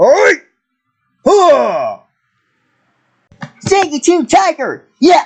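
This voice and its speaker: This is a put-on character voice at a very slow pace. Long pauses come often. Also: man, extremely high pitch for a man. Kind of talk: battle cries and morph calls. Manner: shouted, energetic.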